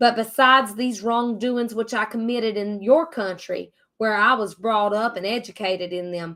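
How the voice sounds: The voice reads naturally, and its pitch varies in an ordinary way.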